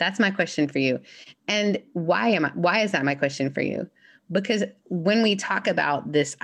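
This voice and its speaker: A woman's normal speaking voice at a fairly quick pace, ordinary pitch variation, and a quiet background. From Canada, then Mississippi from age fourteen. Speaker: minister. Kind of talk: casual interview chat.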